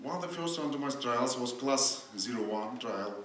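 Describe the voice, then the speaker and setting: Over noticeable background noise and audible room echo, a man with a non-native accent speaks at a moderate pace, using a medium pitch and ordinary pitch variation. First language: not English. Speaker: surgeon giving a conference talk. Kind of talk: lecture. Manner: halting.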